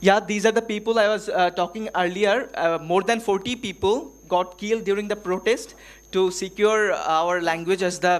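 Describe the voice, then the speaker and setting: The speaker talks in a Bengali accent at a moderate pace. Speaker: workshop presenter. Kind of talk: conference presentation. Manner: halting, many fillers.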